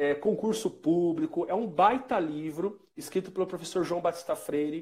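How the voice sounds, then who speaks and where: Here a man talks with a high pitch and ordinary pitch variation. His pace is moderate. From São Paulo state, Brazil (Santo André, Sorocaba). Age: 30s. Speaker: physical education teacher and author. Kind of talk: interview in a live video stream.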